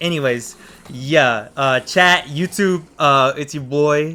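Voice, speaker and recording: The voice belongs to a man. Pitch rises and falls in an ordinary way. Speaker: gaming YouTuber. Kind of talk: gameplay commentary.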